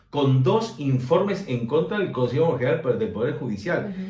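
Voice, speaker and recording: This man's pitch swings very widely as he talks at a moderate pace. Noticeable background noise and audible room echo come through. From Uruguay. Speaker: expert on gender violence law. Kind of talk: interview conversation.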